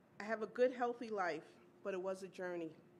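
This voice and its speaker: The speaker is a woman. She goes at a fairly quick pace, with ordinary variation in pitch. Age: 60s. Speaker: domestic violence survivor, teaching artist. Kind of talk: testimony speech. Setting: awards luncheon stage.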